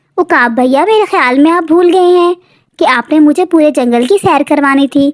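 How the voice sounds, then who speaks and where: Pitched high, the voice keeps a moderate speed. It is a cartoonish character voice. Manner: polite, friendly.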